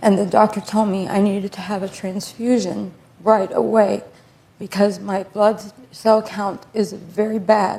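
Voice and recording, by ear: A woman of medium pitch speaks at a fairly slow pace with monotone, flat intonation. Noticeable background noise is present.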